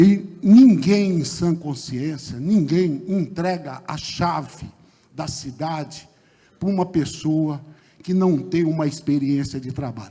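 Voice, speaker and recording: A dark, mellow tone comes through at a very slow pace, with audible room echo. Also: man. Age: 60s. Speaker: mayoral candidate, lawyer. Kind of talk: political debate closing statement. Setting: theatre stage with audience, broadcast on radio.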